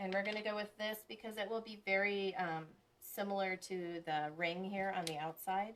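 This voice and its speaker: With fairly even intonation and a medium pitch, a woman talks at a moderate pace. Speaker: crafter live-streaming a chalk sign project. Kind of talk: live-stream craft tutorial. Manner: casual, chatty with fillers; louder while using the dryer.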